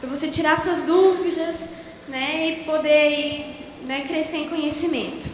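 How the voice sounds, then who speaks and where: A warm tone carries at a fairly slow pace with fairly even intonation. Noticeable background noise and audible room echo are present. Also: woman. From southern Brazil (Rio Grande do Sul). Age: young. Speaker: missionary speaker. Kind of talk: sermon. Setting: church. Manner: warm, conversational.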